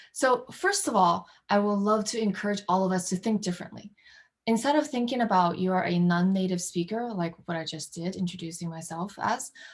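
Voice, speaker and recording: Very clean, with a silent background, the recording captures a woman with a non-native accent talking at a fairly quick pace and a medium pitch. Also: ordinary pitch variation. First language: not English. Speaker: workshop presenter. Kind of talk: workshop presentation. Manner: hesitant, many fillers.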